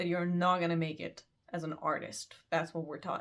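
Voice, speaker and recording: A woman with an ordinary speaking voice talks at a fairly slow pace and a fairly low pitch. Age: 20s. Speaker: student. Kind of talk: casual talk to camera.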